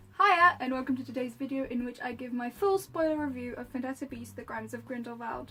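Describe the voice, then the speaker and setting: Hardly pausing, a woman talks at a fairly quick pace in a high pitch. Her pitch variation is ordinary, and background noise is noticeable. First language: Polish. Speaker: YouTuber, film reviewer. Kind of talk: casual review monologue.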